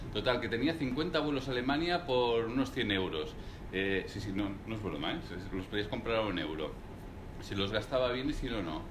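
Lively intonation marks a man's moderately paced speech, with noticeable background noise behind him. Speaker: serial entrepreneur; guest. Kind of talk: live talk interview before audience. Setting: room with live audience, no microphone. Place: meeting room. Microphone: speaking without microphone; camera far.

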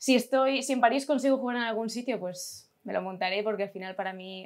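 Someone talks at a very fast pace, and the pitch varies in an ordinary way. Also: woman. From Catalonia, Spain. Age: 20s. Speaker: amateur basketball player. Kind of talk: interview. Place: office.

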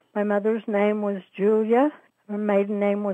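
A woman speaks in an American accent with a dark, mellow tone and monotone, flat intonation. The sound is dry with no echo, over a quiet background. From Utah, US. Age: 80s. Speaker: interviewee, downwinder oral history participant. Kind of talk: oral history interview, recounting memories. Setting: phone call. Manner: hesitant, with fillers. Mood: reflective, somber. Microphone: phone line.

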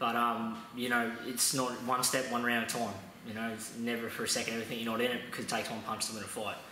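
A man speaks at a very fast pace in a monotone, flat intonation. Audible room echo and light background noise surround him. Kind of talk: interview answer.

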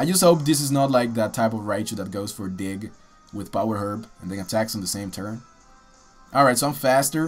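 Fairly quick speech from a man at medium pitch, with music in the background. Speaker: gaming commentator. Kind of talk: live game commentary. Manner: casual.

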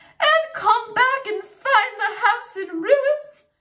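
A growling, put-on character voice at a very slow pace. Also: female-sounding voice, extremely high pitch for a woman. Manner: snarling.

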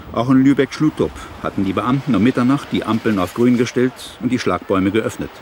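A man talks fairly quickly with ordinary pitch variation while noticeable background noise carries on. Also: medium pitch for a man. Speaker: TV reporter (archive clip). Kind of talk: 1990 German TV news report narration. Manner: brisk, formal, newsreader-like.

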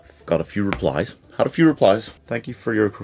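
Faint background music plays while a man talks at a fairly quick pace. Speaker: youtuber. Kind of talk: comedic vlog commentary. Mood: exasperated, joking. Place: home room.

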